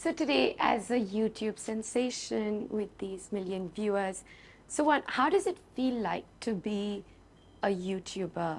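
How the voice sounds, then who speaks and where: With an ordinary speaking voice, a woman talks at a fairly high pitch and fairly slow pace, using ordinary pitch variation and big swings in loudness. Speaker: podcast host. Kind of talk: interview questions.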